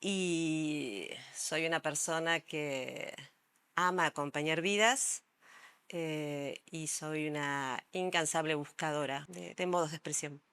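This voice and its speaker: With a Rioplatense accent, a woman of very deep, low pitch speaks at a very slow pace with fairly even intonation. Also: very clean recording, silent background. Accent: Rioplatense Spanish (porteño). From Argentina, Buenos Aires. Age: 60s. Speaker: psychologist and art therapist. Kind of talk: interview. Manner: hesitant, many fillers.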